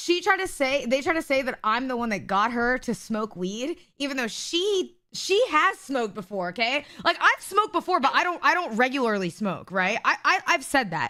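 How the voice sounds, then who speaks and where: A woman's raised, projected voice, high and bright with a sharp tone, at a moderate pace with hardly any pauses and very wide pitch swings. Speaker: livestreamer. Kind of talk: casual chat.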